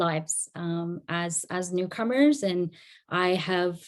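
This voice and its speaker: On a very clean recording with a silent background, a woman with an Afghan accent speaks at a fairly low pitch and a fairly slow pace. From Afghanistan (Herat), raised partly in Iran and Canada. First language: Dari. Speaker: community advocate, guest speaker. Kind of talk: talk to an audience.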